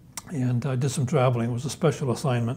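A man with a dark, mellow tone talks fast at a medium pitch, his intonation fairly even.

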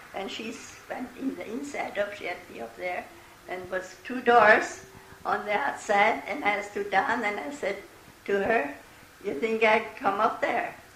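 A woman with a fairly high pitch talks at a fairly slow pace, her intonation lively and her loudness swinging widely. Audible room echo and light background noise surround her voice. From Eastern Pennsylvania, USA. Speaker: great grandmother interviewee. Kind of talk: oral history interview answer. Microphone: old recording.

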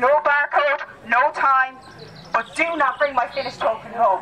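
A woman's raised, projected voice at a moderate pace, with ordinary pitch variation and light background noise. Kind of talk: pre-race briefing announcement. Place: forest.

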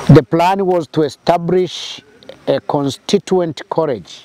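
A man is heard in a dry sound with no echo. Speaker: interviewee. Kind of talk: interview answer. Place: open country.

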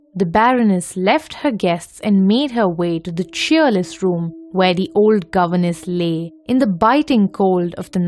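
This is a natural reading voice. The text is read aloud.

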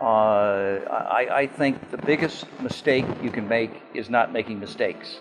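There is noticeable noise behind the speaker. He is a man. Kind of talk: interview answer. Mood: reflective, calm. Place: home room. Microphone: lapel.

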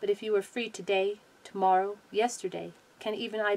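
The reading voice sounds unforced. Its intonation is lively.

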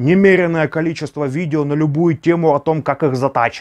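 A man's moderately paced speech against a quiet background. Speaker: knife hobbyist vlogger. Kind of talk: casual vlog chat. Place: home room.

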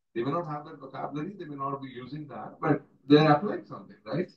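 With an Indian accent, a man speaks at a very fast pace and sounds somewhat breathy. The room echo is audible, though the background stays quiet. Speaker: water professional; panelist. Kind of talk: closing remarks. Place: meeting room. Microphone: camera far.

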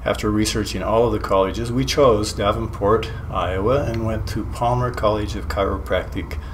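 Against light background noise, a man talks at a moderate pace with hardly any pauses. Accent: American. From US West, southern Idaho. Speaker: chiropractor. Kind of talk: personal introduction monologue. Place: studio.

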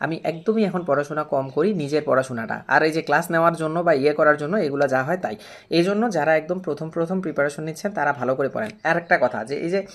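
Recorded very cleanly against a silent background, a man with a plain, everyday voice speaks at a fairly high pitch with ordinary pitch variation. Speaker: exam prep tutor. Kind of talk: casual talk to camera.

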